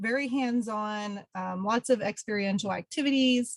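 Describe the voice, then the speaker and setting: A somewhat breathy woman with an American accent and a fairly high pitch talks at a fairly slow pace. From Pennsylvania. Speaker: environmental educator. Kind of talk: webinar presentation. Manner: many filler ums.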